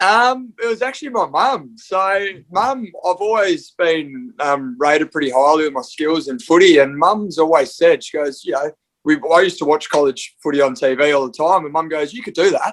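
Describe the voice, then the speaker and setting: In an Australian accent, a high-pitched man speaks at a moderate pace with lively intonation. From Western Australia. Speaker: American football punter. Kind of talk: podcast interview.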